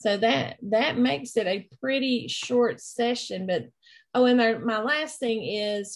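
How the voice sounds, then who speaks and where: Against a quiet background, a woman with a strong East Tennessee accent speaks at a fairly high pitch and fairly slow pace, with ordinary pitch variation. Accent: thick East Tennessee. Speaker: instructional technology trainer. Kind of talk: online training session.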